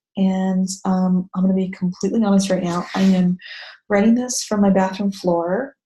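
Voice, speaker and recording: Speaking at a moderate pace, a woman with a medium pitch and a dark, mellow tone sounds somewhat breathy, her intonation monotone and flat. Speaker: blog managing editor, mom blogger. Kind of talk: tutorial. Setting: bathroom at night. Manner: whispery, hushed. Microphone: echoey audio.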